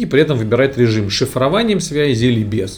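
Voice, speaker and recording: A man talks at a medium pitch and fairly quick pace, with ordinary pitch variation. Noticeable background noise is present. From Moscow, Russia. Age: 30s. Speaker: tech company CEO. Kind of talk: interview.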